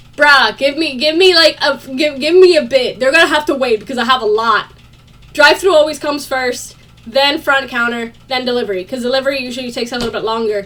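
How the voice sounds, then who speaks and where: Against noticeable background noise, a high-pitched woman talks at a very fast pace in an animated tone with ordinary pitch variation. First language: not English. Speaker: vlogger. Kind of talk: casual chat.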